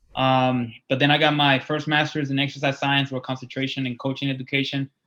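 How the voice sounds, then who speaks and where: A man with a Spanish accent talks at a fairly quick pace in a fairly high pitch, his intonation monotone and flat. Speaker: college wrestling coach. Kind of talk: interview.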